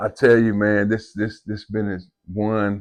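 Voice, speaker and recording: Against a quiet background, a man with a fairly low pitch speaks at a fairly slow pace. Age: 50s. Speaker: podcast host. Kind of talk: casual interview chat.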